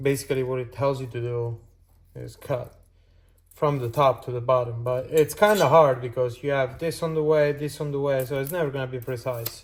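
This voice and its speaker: Over noticeable background noise, a man with a non-native accent speaks at a medium pitch with ordinary pitch variation. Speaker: car enthusiast. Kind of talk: casual talk to camera. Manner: hesitant, many fillers.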